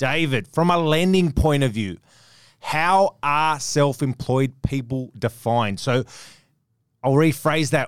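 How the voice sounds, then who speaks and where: Recorded very cleanly with a silent background and a dry, close sound with no echo, a man with an Australian accent talks very slowly with ordinary pitch variation. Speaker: podcast host. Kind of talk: podcast interview.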